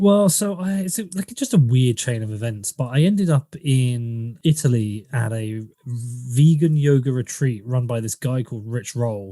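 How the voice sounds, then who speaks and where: In an English accent, a man talks at medium pitch and a moderate pace with lively intonation and hardly any pauses. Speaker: podcaster. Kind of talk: interview. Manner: casual.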